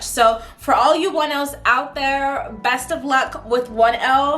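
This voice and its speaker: A woman with a high pitch and ordinary pitch variation speaks amid noticeable background noise and audible room echo. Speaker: vlogger and law student. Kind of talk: casual chat to camera. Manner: casual, chatty.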